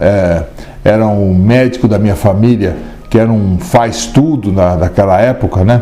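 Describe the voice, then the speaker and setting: Music plays behind a man speaking at a fairly low pitch and a moderate pace. His pitch varies in an ordinary way, and his loudness stays very even. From Brazil, São Paulo city. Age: 60s. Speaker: physician. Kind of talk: interview testimony.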